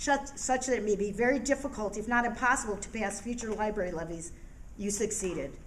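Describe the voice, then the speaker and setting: A woman talks very fast with ordinary pitch variation, and audible echo comes from the room. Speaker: public commenter at a meeting. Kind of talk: public comment speech. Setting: public board meeting. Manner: forceful, indignant.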